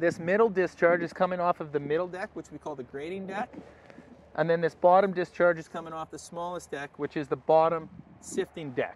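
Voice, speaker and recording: At a fairly quick pace, a man talks in a high pitch with fairly even intonation, the sound dry with no echo and light background noise present. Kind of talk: product walkthrough tutorial. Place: open country.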